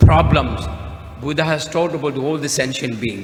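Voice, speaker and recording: Noticeable background noise and audible room echo surround the speech. The man's pitch varies in an ordinary way. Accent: Tibetan. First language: Tibetan. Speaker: Buddhist speaker. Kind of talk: speech at conference. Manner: halting.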